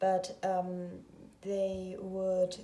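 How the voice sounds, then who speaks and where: A somewhat breathy woman with a non-native accent talks amid audible room echo. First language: not English. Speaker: tarot reader. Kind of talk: tarot reading video monologue. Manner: hesitant, many filler sounds.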